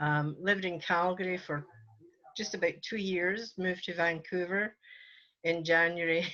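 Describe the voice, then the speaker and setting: A bright, sharp voice in a Scottish accent moves at a moderate pace with fairly even intonation and long, frequent pauses, against a quiet background. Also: woman. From Scotland, Port Glasgow. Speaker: church elder, retired nurse. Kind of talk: interview.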